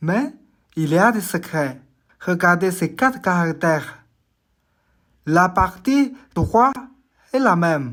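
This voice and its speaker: A woman speaks very slowly at a fairly low pitch, with very wide pitch swings and long, frequent pauses. The recording is very clean, with a silent background. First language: Chinese (Mandarin) (speaking French). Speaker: language teacher. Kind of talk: tutorial. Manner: clear, deliberate.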